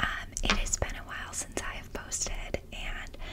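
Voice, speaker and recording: The voice is whispering. It carries an American accent. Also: woman. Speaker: ASMR creator. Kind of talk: casual talk to camera. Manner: soft-spoken, whispery. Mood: warm, smiling. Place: home room. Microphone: studio mic.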